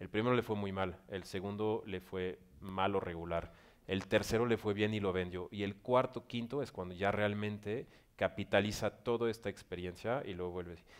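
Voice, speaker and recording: A man with a fairly low pitch talks at a moderate pace with fairly even intonation on a very clean recording with a silent background. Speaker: director of an entrepreneurship organization. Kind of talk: panel interview at business forum.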